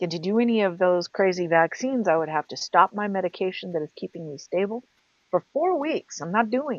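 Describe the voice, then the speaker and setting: Her normal speaking voice, at medium pitch and a moderate pace, carries lively intonation, and the woman is recorded dry and close with no echo. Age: 50s. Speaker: podcast co-host. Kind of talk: casual chat.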